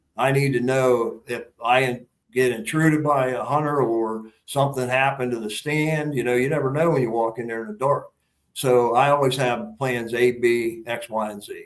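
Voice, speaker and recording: This is a man with an ordinary speaking voice at a medium pitch. He talks at a moderate pace with fairly even intonation. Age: 60s. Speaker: hunter. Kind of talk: casual interview chat.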